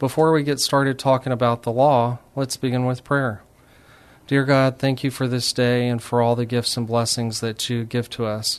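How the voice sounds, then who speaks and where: A man with an American accent speaks at a medium pitch. His intonation is monotone and flat, over a quiet background. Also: moderate pace. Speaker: radio host and attorney. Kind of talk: radio interview. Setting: radio studio.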